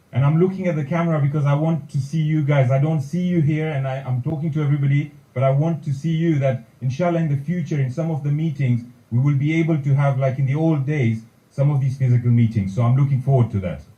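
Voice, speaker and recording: Speaking at a very fast pace, a man with a fairly high pitch has a somewhat breathy, dark, mellow tone. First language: Kutchi. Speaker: community leader, president-elect. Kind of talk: formal speech. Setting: meeting hall, also streamed online.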